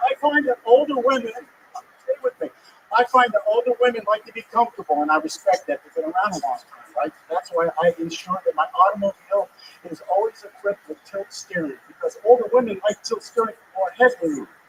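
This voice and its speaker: A man talks fairly quickly at a high pitch, with very wide pitch swings and big swings in loudness. The sound is dry and close with no echo, over noticeable background noise. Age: 60s. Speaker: amateur stand-up comedian. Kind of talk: stand-up.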